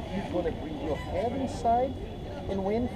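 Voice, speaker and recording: The speech moves at a fairly quick pace. Loud background noise runs underneath it. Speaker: hang gliding instructor pilot. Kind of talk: safety briefing instructions. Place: open country.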